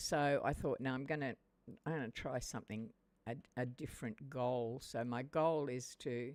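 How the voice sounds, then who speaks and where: With an Australian accent, a woman talks at a very deep, low pitch and a moderate pace, her intonation fairly even. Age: 70s. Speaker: gaming streamer. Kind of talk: live game stream commentary. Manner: halting.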